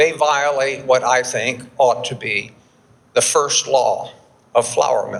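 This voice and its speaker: A man with an American accent speaks at a very slow pace. Noticeable background noise can be heard. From Texas, Houston. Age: 70s. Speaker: flour milling expert, keynote speaker. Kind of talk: conference keynote presentation. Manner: halting, with repetitions and fillers.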